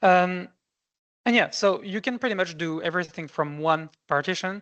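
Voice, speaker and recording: Her pitch varies in an ordinary way. Behind the woman, the background is quiet. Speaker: software presenter. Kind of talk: webinar product demo.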